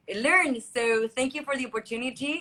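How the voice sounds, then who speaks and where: A woman's high-pitched, bright, sharp voice, raised and projected, with fairly even intonation and a Spanish accent. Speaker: beauty pageant contestant. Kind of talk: interview.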